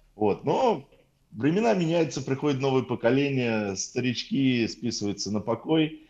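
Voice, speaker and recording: With a plain, everyday voice, a man talks at a moderate pace using lively intonation. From Soviet Union. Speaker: podcaster. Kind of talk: casual chat.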